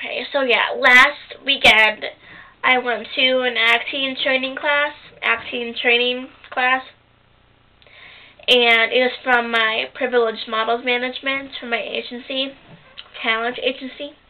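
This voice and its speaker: With long, frequent pauses, a woman speaks at a fairly slow pace. Her high-pitched voice has a monotone, flat intonation. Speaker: acting student video journaling. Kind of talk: casual video diary. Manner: rambling, halting with fillers.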